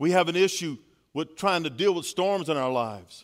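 On a very clean recording with a silent background, a man with a Louisiana accent talks at a fairly quick pace with ordinary pitch variation. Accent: Louisiana Southern US. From Louisiana, Baton Rouge. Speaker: pastor. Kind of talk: sermon. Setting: church.

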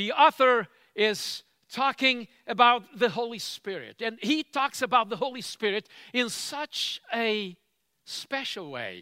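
A man's extremely high, raised and projected voice, bright and sharp in tone, with ordinary pitch variation, a very slow pace and a dry, close sound with no echo. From Cape Verde. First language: Cape Verdean Creole. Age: old. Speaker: church leader, preacher. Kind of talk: sermon. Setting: retreat gathering with audience.

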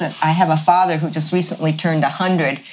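Noticeable background noise runs under the clip. A woman speaks at a moderate pace. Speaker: village co-founder. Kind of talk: casual interview.

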